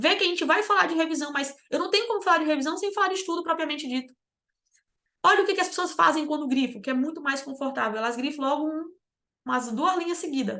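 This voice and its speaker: A woman talks at a very fast pace in a raised, projected voice. Her pitch is high, her tone bright and sharp, and her intonation lively. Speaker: exam preparation mentor. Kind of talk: online lecture. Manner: animated.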